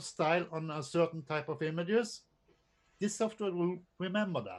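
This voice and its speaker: A man with a non-native accent speaks at a moderate pace with high pitch and ordinary pitch variation. His loudness swings widely, and the background is quiet. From Norway. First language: not English. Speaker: drone photographer and presenter. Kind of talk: casual chat. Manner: halting.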